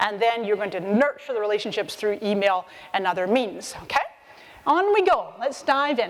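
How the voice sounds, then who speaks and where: A woman speaks in an animated tone with very wide pitch swings. Noticeable background noise runs behind her. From Scotland (Edinburgh), Scottish parents, born in Canada. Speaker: social media marketing expert and speaker. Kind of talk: conference talk. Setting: stage with audience.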